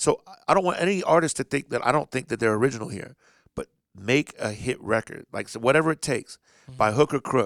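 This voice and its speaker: A man talks at a very fast pace with big swings in loudness. The recording is very clean, the background silent. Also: medium pitch for a man. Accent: American. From Indianapolis, US Midwest. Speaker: DJ. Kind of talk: casual chat.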